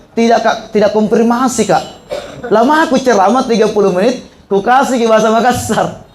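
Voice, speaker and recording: A man with a high pitch talks at a fairly quick pace, and room echo is audible. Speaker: Islamic preacher and university lecturer. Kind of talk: sermon. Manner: conversational, joking.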